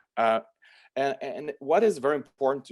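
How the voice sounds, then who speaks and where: The speaker has a French accent, ordinary pitch variation and a moderate pace. The recording is very clean, with a silent background. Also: man. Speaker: lawyer. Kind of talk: interview. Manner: halting, many repetitions and fillers.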